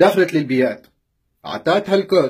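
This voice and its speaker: Moderate pace and lively intonation over a quiet background. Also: man. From Tunisia. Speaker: vlogger; vlogger telling a personal story. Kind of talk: live video rant. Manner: animated. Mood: upset, indignant. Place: home room. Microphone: phone near.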